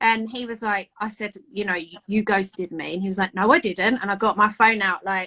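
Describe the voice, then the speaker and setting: A woman speaks loud and fairly quickly with hardly any pauses, in a medium pitch with a bright, sharp tone. Her intonation is fairly even, and the sound is dry and close with no echo. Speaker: amateur bodybuilder. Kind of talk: casual chat. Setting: Instagram live video.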